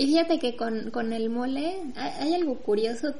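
A high-pitched woman with a Mexican accent, heard with audible room echo and noticeable background noise. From Mexico. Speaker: podcast co-host. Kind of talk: casual chat.

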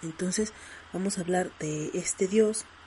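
Noticeable background noise sits behind the speaker. The delivery is very slow, with fairly even intonation. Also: woman. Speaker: podcast host. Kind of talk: casual monologue.

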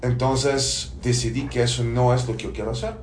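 Over noticeable background noise and audible room echo, the speaker uses a Bulgarian accent at a moderate pace. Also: man. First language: Bulgarian (speaking Spanish). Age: 40s. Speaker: business consultant, former lawyer. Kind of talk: podcast interview. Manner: hesitant, many fillers.

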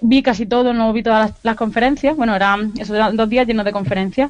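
The woman's voice sits at a fairly high pitch with ordinary pitch variation. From Andalusia, Granada. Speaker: video game podcast correspondent. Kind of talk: casual chat.

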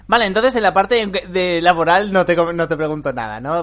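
A normal speaking voice, fairly quick in pace, with lively intonation over a quiet background. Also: man. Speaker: podcast host and programming teacher. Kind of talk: casual interview chat.

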